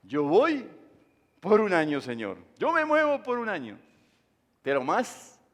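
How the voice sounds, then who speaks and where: Very slow and full of long, frequent pauses, a man's high voice makes very wide pitch swings. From Uruguay. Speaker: pastor. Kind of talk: sermon.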